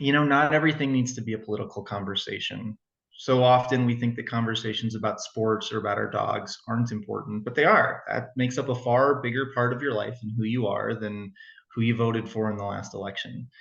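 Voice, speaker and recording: A man talks at a fairly quick pace with an American accent. His medium pitch holds fairly even intonation. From Arizona. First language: German. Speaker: political candidate. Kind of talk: interview. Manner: conversational.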